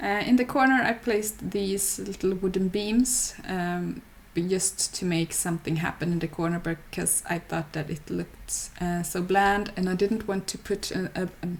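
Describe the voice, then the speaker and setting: Hardly pausing at all, a woman speaks at a moderate pace in a somewhat breathy voice. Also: medium pitch for a woman, ordinary pitch variation. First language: not English. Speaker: gaming YouTuber. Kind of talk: voiceover narration of game build. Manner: halting, many fillers.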